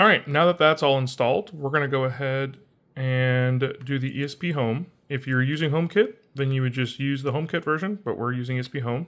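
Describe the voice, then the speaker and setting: Against a quiet background, a man speaks fairly quickly. His pitch shifts in an ordinary way. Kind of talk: tutorial. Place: home room. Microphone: phone near.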